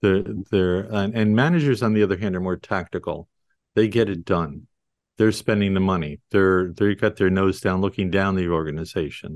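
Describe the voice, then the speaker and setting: Dry and close with no echo over a quiet background, a man with an American accent and a very deep, low pitch speaks at a moderate pace with ordinary pitch variation. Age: 70s. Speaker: leadership and business consultant. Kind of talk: casual interview conversation.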